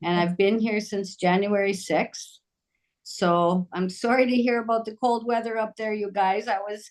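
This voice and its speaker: An unremarkable speaking voice at a fairly slow pace with fairly even intonation. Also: woman. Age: 60s. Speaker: nurse and yoga instructor. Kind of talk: testimony.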